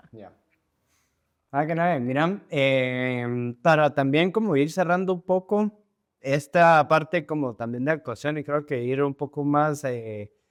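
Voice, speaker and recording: With a Guatemalan accent, a man speaks at a very slow pace in a fairly high voice with ordinary pitch variation. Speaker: podcast host. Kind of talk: casual interview chat.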